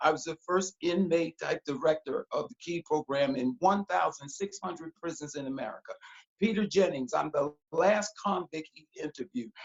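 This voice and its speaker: A high-pitched man at a moderate pace, with big swings in loudness. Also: ordinary pitch variation. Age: 60s. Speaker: pastor and motivational speaker. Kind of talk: casual interview, preaching style. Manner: animated.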